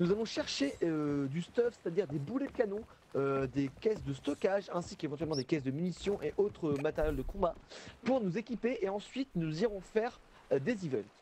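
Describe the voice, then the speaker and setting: A man's high voice with very wide pitch swings, at a fairly quick pace, amid noticeable background noise. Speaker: gamer streaming with friends. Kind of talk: casual gaming chat. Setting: voice chat on Discord. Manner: fast.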